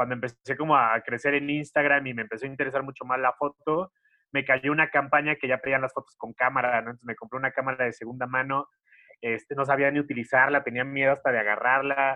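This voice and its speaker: Racing along at a very fast pace, a man speaks at a medium pitch in a monotone, flat way. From Mexico, Xalapa, Veracruz. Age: 30s. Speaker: content creator. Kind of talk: casual interview.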